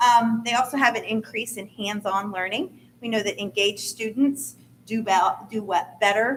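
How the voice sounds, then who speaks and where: The speaker is a woman at a medium pitch. Pitch variation is ordinary. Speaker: school district curriculum director. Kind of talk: board meeting presentation.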